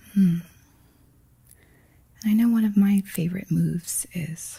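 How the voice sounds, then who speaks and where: Gentle and somewhat breathy, a woman's medium-pitched voice carries a dark, mellow tone at a fairly slow pace. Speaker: massage instructor. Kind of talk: instructional massage tutorial narration. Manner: soft-spoken, gentle.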